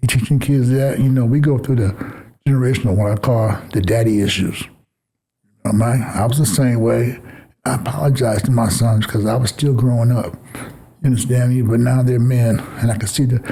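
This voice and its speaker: A somewhat breathy, dark, mellow tone at a fairly quick pace, broken by long, frequent pauses. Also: man, very even loudness. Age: 60s. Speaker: youth basketball coach and mentor. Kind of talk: interview conversation. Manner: animated, passionate.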